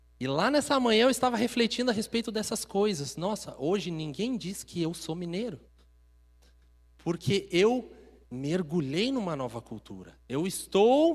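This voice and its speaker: With a southern Brazilian accent, a man speaks at a fairly slow pace in a high pitch that swings very widely. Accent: gaúcho accent, acquired. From Minas Gerais, Brazil. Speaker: preacher. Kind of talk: sermon. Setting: church.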